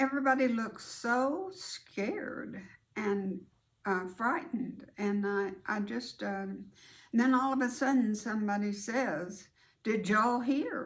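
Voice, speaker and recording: A woman with an American accent speaks at a fairly slow pace in a fairly high, somewhat breathy voice with lively intonation, and audible room echo surrounds her. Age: 80s+. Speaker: grandmother storyteller, video host. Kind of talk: casual storytelling to camera.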